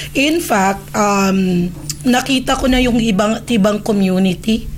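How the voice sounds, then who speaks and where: With noticeable background noise and audible room echo, a woman speaks fairly slowly in a fairly high pitch with ordinary pitch variation. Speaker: immigration consultant. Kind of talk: casual chat.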